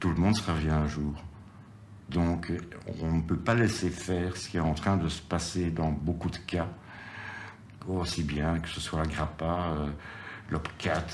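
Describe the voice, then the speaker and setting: A man speaks very slowly in a very deep, low pitch, with fairly even intonation and long, frequent pauses. Room echo is audible, along with noticeable background noise. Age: 60s. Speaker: activist in a seniors' protest group. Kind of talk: interview testimony.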